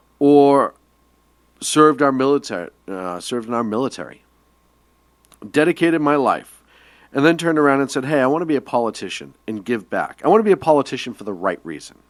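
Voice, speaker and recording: This man has a Boston accent, a fairly high pitch, and an animated tone with lively intonation. He moves at a fairly quick pace but leaves long, frequent pauses. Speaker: radio show co-host. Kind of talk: casual political discussion.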